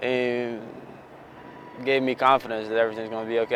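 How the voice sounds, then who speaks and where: With noticeable background noise behind him, a man talks at a fairly quick pace and a medium pitch. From Bosnia. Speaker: former client. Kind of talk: testimonial interview.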